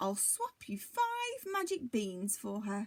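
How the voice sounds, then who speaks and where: A woman puts on a croaky character voice, high in pitch. Her pace is fairly slow. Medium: read story.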